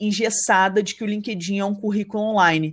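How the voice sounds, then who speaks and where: In a very clean recording with a silent background, a woman speaks with fairly even intonation at a medium pitch in a plain, everyday voice. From Rio de Janeiro state interior, Brazil. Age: 30s. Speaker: entrepreneur, marketing business founder. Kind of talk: podcast interview, casual chat.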